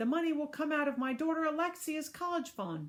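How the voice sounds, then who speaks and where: A woman puts on a squeaky character voice pitched high. She talks at a fairly quick pace with very even loudness. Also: ordinary pitch variation. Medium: read story. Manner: over-eager, carried away.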